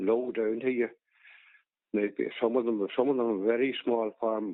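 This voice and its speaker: A man with a Donegal accent, fairly even intonation and a moderate pace. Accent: Donegal Irish. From Ireland, County Donegal. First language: Irish. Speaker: farmer. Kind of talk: oral history interview. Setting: phone call. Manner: halting.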